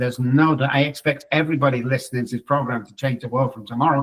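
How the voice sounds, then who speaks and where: A man speaks at a fairly quick pace. His voice is fairly high-pitched and somewhat breathy. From England. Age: 60s. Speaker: psychologist. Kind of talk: interview.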